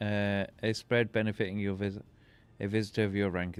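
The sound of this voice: The voice reads in an unforced way.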